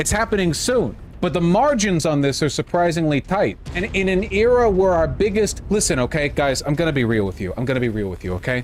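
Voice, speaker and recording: Noticeable background noise sits behind a man's high voice. He talks at a fairly quick pace with very wide pitch swings. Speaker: political streamer. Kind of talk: live stream commentary. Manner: casual, halting with fillers.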